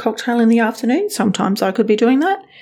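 A woman with an Australian accent, fairly high pitch and lively intonation. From western Sydney, Australia. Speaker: podcast host, financial planning business owner. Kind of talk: casual monologue.

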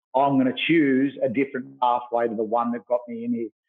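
This man talks at a moderate pace in an Australian accent. His voice sits at a medium pitch. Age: 40s. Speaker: youth worker and fitness trainer. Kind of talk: interview. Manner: animated.

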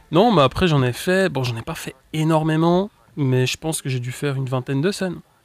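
In a dry, close recording with no echo, a man speaks at a fairly quick pace in a plain, everyday voice, his pitch fairly high and its variation ordinary. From Switzerland (French-speaking). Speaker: youtuber, comedy sketch creator. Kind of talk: casual interview chat.

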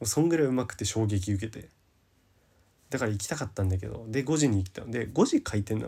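In a very clean recording with a silent background, a man with a dark, mellow, somewhat breathy voice speaks very fast at medium pitch with ordinary pitch variation. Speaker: podcast host. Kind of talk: solo casual talk. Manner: rambling long-form talk.

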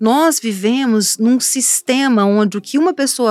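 A woman talks at a fairly slow pace with lively intonation, in a dry, close sound with no echo on a very clean recording with a silent background. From Brazil, Espírito Santo (Cachoeiro de Itapemirim). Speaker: TV reporter and author. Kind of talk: interview. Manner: animated.

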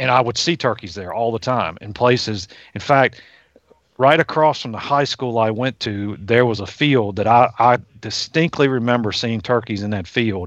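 A man with an American accent has an unremarkable speaking voice at medium pitch. He talks at a moderate pace with ordinary pitch variation. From Virginia, US. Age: 50s. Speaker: wildlife scientist. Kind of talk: casual interview.

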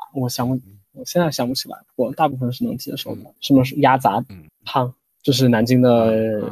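In a northern Chinese accent, a moderate pace with fairly even intonation. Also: man, medium pitch for a man. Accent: near-native northern Chinese Mandarin. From United States. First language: English (speaking Chinese). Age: 20s. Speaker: Chinese language learner. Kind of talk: interview.

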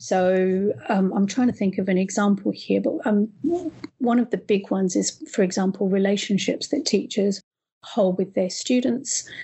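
A woman speaks at a moderate pace with a medium pitch and a somewhat breathy voice. Her loudness stays very even. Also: ordinary pitch variation. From East Africa, then Australia from high school. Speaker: education professor and researcher. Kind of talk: interview.

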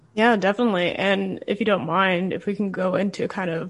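Against a quiet background, a woman with vocal fry speaks at a fairly low pitch and moderate pace, her intonation fairly even. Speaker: student podcast host. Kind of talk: interview.

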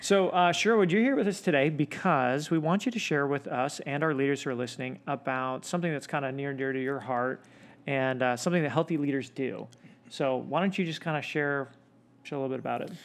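A man's fairly high voice rushes along at a very fast pace, with ordinary pitch variation. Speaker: podcast host. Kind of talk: casual podcast interview.

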